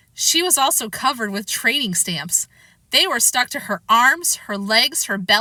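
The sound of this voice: An unforced reading voice carries the whole clip.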